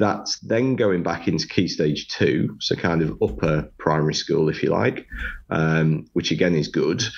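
With a Sunderland accent, a man speaks at a fairly slow pace in a very deep, low pitch with vocal fry. His intonation is lively while his loudness stays very even. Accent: Sunderland (Mackem) English. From northeast England, Sunderland. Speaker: construction director and author. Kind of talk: casual interview.

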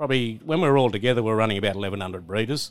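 A man with a rural Australian accent speaks at a fairly low pitch with lively intonation on a very clean recording with a silent background. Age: 60s. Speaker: cattle stud owner and farmer. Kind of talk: casual interview chat. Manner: halting, repeats words.

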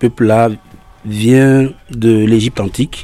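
A man's fairly slow, monotone voice with flat intonation, in a West African French accent. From Togo. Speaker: singer and drummer. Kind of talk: interview. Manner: halting, repetitive.

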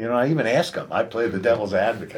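With an American accent, a man speaks at a medium pitch and ordinary pitch variation. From US East Coast, Delaware. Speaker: martial arts master and founder. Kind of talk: interview answers, conversational.

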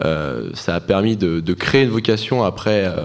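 A man speaks over noticeable background noise. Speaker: master's student. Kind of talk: radio interview.

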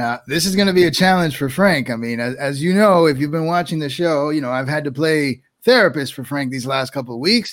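In an ordinary speaking voice, a man with a fairly high pitch and ordinary pitch variation talks at a fairly quick pace with hardly any pauses. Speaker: podcast co-host. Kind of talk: casual group chat. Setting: video call.

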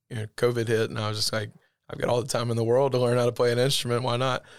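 On a very clean recording with a silent background, a man in a Southern US accent speaks at medium pitch with monotone, flat intonation. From Alabama, US South. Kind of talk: casual interview chat.

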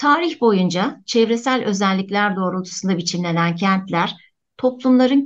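A woman with an ordinary speaking voice talks at a moderate pace, medium pitch and lively intonation. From Antakya, Turkey. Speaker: architecture professor. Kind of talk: radio interview, prepared talk.

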